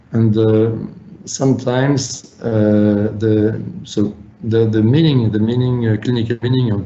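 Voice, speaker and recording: Fairly slow, fairly even speech from a man, with audible room echo. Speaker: physician presenter. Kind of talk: webinar lecture. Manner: halting, many fillers.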